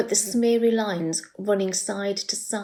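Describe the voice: This is plain reading aloud, and the pitch shifts in an ordinary way.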